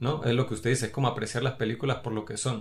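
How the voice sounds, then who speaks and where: A man's very fast delivery with fairly even intonation. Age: 30s. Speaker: film podcast co-host. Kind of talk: casual chat.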